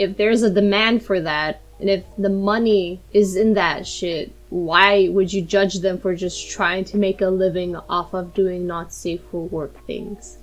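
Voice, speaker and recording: Over noticeable background noise, a woman with a non-native accent talks at a fairly slow pace in a medium pitch, hardly pausing at all. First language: not English. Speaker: YouTuber and digital artist. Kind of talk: casual story-time monologue. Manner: animated.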